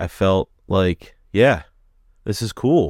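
A man with a very deep, low pitch in a dry, close sound with no echo. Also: very clean recording, silent background. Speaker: podcast host. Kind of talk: casual podcast interview.

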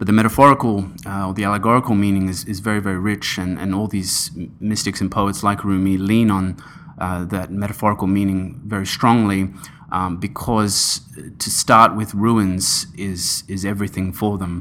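Against a silent background in a very clean recording, a man speaks in a fairly low, monotone voice with flat intonation. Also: moderate pace. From Australia (Sydney), born in Iran. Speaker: philosophy scholar, PhD student. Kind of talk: interview discussion. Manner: halting, many filler sounds.

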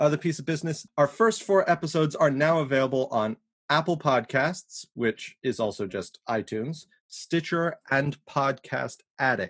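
Against a quiet background, a man with an unremarkable speaking voice and fairly high pitch talks at a moderate pace, the sound dry and close with no echo. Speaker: podcast co-host. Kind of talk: casual chat.

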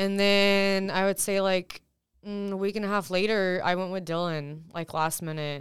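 A woman speaks in a normal speaking voice with fairly even intonation, in a very clean recording with a silent background. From Texas. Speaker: podcast guest. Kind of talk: casual chat.

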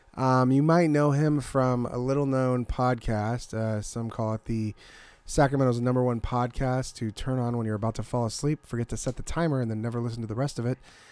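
At a fairly quick pace, a man talks in a plain, everyday voice. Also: medium pitch for a man, fairly even intonation. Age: 30s. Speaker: podcast co-host. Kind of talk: casual comedic banter. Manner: playful, laughs often.

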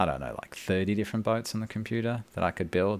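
A man talks at a very fast pace with an Australian accent. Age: 30s. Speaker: boat builder. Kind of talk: casual chat.

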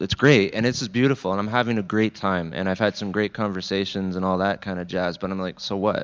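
At a moderate pace, a man talks in a plain, everyday voice, fairly low in pitch with fairly even intonation. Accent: Canadian. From Southern Ontario, Canada (Niagara region). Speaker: church guest speaker. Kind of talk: conversational interview in church service. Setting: church service with congregation.

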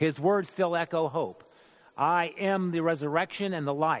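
A man's ordinary speaking voice, fairly high in pitch and at a fairly slow pace. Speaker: church member performing dramatic monologue. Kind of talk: first-person dramatic monologue in character as a biblical figure at the cross. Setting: church midweek worship service. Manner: rising from confessional regret to bold, resolute proclamation; solemn, measured, theatrical storytelling cadence.

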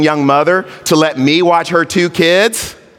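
Over noticeable background noise, a man with an American accent speaks very slowly at a high pitch with ordinary pitch variation. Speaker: pastor. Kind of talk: sermon. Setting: church.

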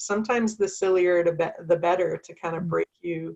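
At a moderate pace, a woman with a Canadian accent speaks at medium pitch with ordinary pitch variation. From Canada. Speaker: founder of a parenting community, working mother. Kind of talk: interview. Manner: hesitant, many fillers.

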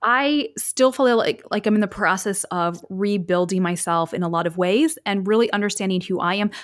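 A woman's unremarkable speaking voice at medium pitch and moderate pace, with ordinary pitch variation and hardly any pauses. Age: 40s. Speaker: podcast host and former reality TV contestant. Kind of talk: casual interview chat.

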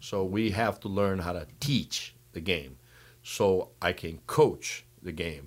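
Speaking very slowly with a Brazilian accent, a man has a very deep, low voice captured in a very clean recording with a silent background. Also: ordinary pitch variation. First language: Portuguese. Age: 60s. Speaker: water polo coach. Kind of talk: casual interview.

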